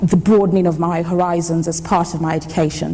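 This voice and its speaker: Over noticeable background noise and audible room echo, a woman with a fairly low pitch talks at a fairly quick pace. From Nigeria, Lagos (to age 16). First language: Yoruba. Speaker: engineer. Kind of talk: conference talk. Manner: fast.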